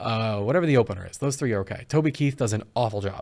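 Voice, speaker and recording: This is a very clean recording of a man against a silent background. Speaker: radio host. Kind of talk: radio show. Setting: studio. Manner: fast.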